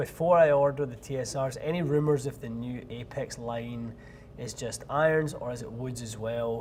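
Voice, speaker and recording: Speaking with a Scottish accent, a man sounds somewhat breathy, using ordinary pitch variation at a moderate pace. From Scotland. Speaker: golf club fitter and show host. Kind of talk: live Q&A stream answering viewer questions. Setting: fitting studio.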